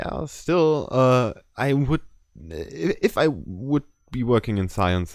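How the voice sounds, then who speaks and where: A man speaks at a very slow pace with a German accent. The recording is very clean, with a silent background. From Germany. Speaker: artist and podcast co-host. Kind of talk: casual chat.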